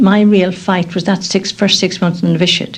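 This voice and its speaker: A woman with an Irish accent talks at a moderate pace, her medium-pitched voice somewhat breathy. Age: 70s. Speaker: nun. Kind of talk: radio documentary interview. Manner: halting.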